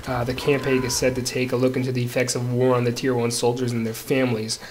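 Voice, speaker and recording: Noticeable background noise sits under speech at a very fast pace. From Canada. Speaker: gaming commentator. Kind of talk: video game commentary. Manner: casual, with frequent fillers.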